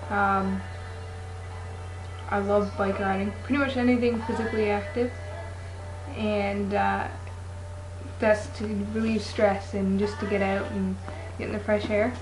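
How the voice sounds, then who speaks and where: Noticeable background noise surrounds a man with a slight Newfoundland accent and a fairly low pitch. His delivery is monotone and flat, with long, frequent pauses. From Toronto, Ontario, Canada. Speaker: vlogger introducing themself. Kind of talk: casual talk to camera. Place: home room. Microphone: webcam.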